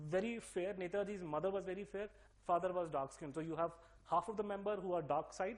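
A man with a Delhi accent speaks at a very fast pace. His voice is high in pitch. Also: fairly even intonation. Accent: typical Delhi. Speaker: speaker giving a talk. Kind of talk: lecture.

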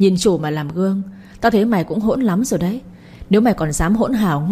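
This is a natural reading voice. It is heard throughout.

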